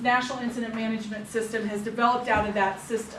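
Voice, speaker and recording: A woman at fairly high pitch and very fast pace, with audible room echo and noticeable background noise. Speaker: public health emergency preparedness trainer. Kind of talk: staff training presentation.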